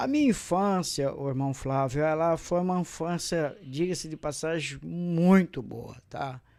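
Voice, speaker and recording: On a very clean recording with a silent background, a man with fairly high pitch speaks at a fairly slow pace, with ordinary pitch variation and hardly any pauses. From Brazil, Caraguatatuba, São Paulo coast. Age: 60s. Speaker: pastor. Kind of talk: testimony. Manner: hesitant, many fillers.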